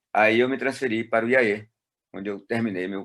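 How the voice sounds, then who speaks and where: Very fast male speech, fairly low in pitch, with ordinary variation. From Brazil, Ceará (Fortaleza). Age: 60s. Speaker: retired pastor. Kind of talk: interview. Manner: halting.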